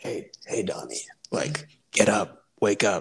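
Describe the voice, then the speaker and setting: A raspy, put-on character voice at a fairly slow pace. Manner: beckoning, creepy.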